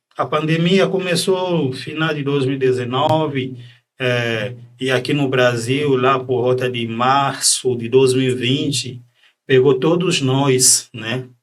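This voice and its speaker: Fairly even intonation at a very slow pace, with audible room echo. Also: man, medium pitch for a man. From Democratic Republic of the Congo. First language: French (speaking Portuguese). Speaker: psychiatrist. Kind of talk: podcast interview.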